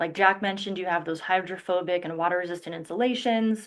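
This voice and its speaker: A woman talks at a fairly quick pace. Her pitch sits in the middle range, and her intonation stays fairly even. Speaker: industrial insulation product specialist. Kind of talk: webinar presentation. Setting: online webinar. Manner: fast.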